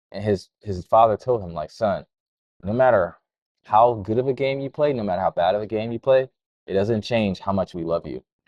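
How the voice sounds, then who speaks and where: A man's normal speaking voice, fairly low in pitch, with ordinary pitch variation at a fairly quick pace. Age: 30s. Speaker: entrepreneur and crypto educator. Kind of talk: interview conversation. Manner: casual, filler-heavy.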